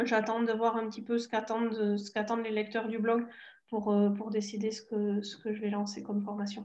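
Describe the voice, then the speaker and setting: A woman speaks with a southern French accent and a fairly high pitch. Her intonation is monotone and flat against a quiet background. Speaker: Spanish teacher and blogger. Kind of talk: interview. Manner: hesitant, many fillers.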